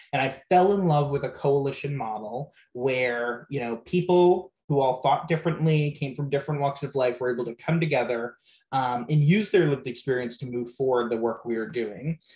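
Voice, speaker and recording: A man with a fairly high pitch and a somewhat breathy voice talks at a moderate pace with ordinary pitch variation. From Rhode Island. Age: 20s. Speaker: youth prevention nonprofit director. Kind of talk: casual interview.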